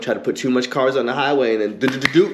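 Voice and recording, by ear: At a fast pace, a man speaks with medium pitch and ordinary pitch variation.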